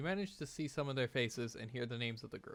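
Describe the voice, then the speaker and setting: A man speaks at medium pitch. Music plays in the background. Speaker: gaming streamer. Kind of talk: let's play commentary with reading game text aloud.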